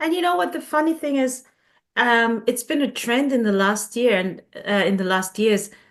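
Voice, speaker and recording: Lively in intonation, a woman with a non-native accent and a fairly high pitch speaks at a moderate pace. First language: not English. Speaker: coach. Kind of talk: casual chat.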